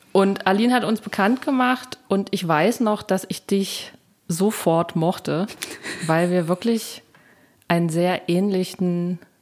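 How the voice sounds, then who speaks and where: A woman talks at a very slow pace. Her voice has a medium pitch and ordinary pitch variation. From Thuringia, eastern Germany. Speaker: podcast host, singer-songwriter. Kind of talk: interview chat.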